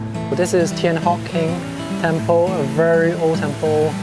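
The speaker talks at a fairly slow pace. Loud music plays in the background. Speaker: vlogger. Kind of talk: casual vlog chat. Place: street. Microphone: phone near.

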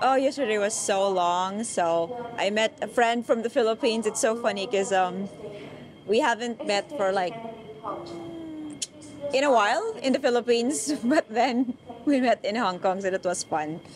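A woman speaks at a moderate pace with ordinary pitch variation and long, frequent pauses, the sound dry with no echo and noticeable background noise behind her. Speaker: travel vlog co-host. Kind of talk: casual vlog chat. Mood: cheerful, excited. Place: station. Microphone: handheld.

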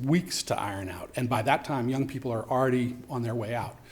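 In a room with audible echo, a man with a medium pitch speaks somewhat breathily at a fairly quick pace. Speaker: youth homeless shelter director. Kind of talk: public testimony at council meeting. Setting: council chambers. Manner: fast.

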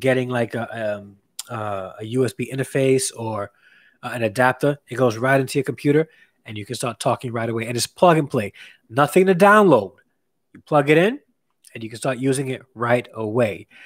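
Quiet background, a fairly quick pace, a dry sound with no echo, ordinary pitch variation and big swings in loudness. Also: man. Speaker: live streamer reviewing gear. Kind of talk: live stream product review chat. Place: home room.

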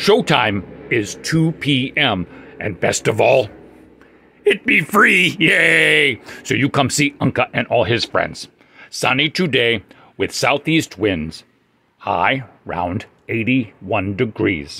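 A man performs a raspy, cartoonish character voice at medium pitch and a very slow pace, with long, frequent pauses. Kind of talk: puppet show comic character voice. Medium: puppet show. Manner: excited, cheerful, broken caveman grammar.

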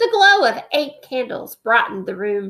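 A woman speaks with a fairly bright tone at a fairly high pitch. Her pitch swings widely at a fairly slow pace.

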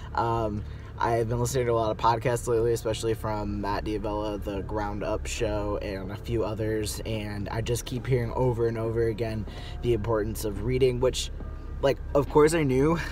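Light background noise accompanies a man's voice, recorded dry with no echo. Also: moderate pace. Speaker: vlogger. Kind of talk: casual vlog chat. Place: car. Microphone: phone near.

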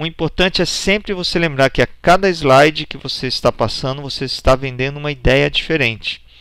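A man's unremarkable speaking voice, fairly high in pitch, at a fairly quick pace with ordinary pitch variation and hardly any pauses. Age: 40s. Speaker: presentation skills instructor. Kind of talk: online course lecture.

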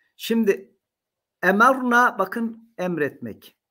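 Over a quiet background, a man speaks in a raised, projected voice at a very slow pace. His tone is bright and sharp, with lively intonation. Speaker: professor of Islamic theology; university professor. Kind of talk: lecture. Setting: recorded talk to camera. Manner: frequent hesitation fillers. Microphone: webcam.

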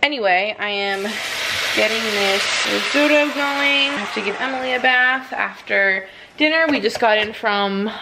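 Against loud background noise, a woman talks at a moderate pace with ordinary pitch variation. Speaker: mom vlogger. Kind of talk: casual vlog chat. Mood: relaxed, chatty. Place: kitchen. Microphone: phone near.

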